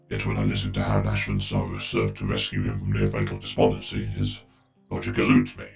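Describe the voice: Putting on a character voice, a man speaks fairly quickly in an extremely low, flat monotone with vocal fry and a slightly mellow tone, his voice robotic and processed, with audible room echo and faint music in the background.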